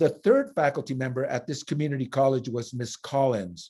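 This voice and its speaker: Recorded very cleanly against a silent background, a man speaks at a medium pitch in a dark, mellow tone. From Phoenix, Arizona (Mexican-American family). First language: Spanish. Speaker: nurse. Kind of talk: interview testimony. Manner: halting, with fillers and self-corrections.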